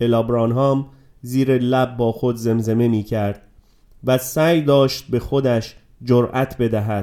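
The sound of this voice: The reading voice is unforced, and its intonation stays fairly even.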